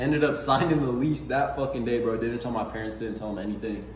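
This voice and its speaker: A man talking at a very fast pace with ordinary pitch variation, audible room echo and light background noise. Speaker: vlogger. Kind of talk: casual vlog chat. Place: home room. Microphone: camera far.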